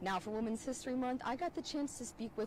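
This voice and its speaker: A woman is talking, and background noise is noticeable throughout. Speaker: TV news reporter. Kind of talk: TV news report.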